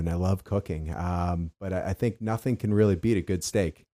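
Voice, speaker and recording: A man with an American accent talks at a moderate pace in a very deep, low pitch, with a dark, mellow tone and fairly even intonation. The recording is very clean, with a silent background and a dry, close sound with no echo. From Boston, Massachusetts. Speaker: home show company president. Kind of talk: casual interview.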